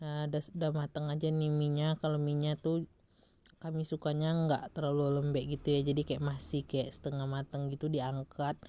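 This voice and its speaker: A woman talks in a very deep, low pitch with a dark, mellow tone. Her loudness is very even and her intonation monotone and flat. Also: moderate pace. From West Sumatra, Lintau (Minang). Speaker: vlogger. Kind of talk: casual vlog voiceover. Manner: chatty, laughing.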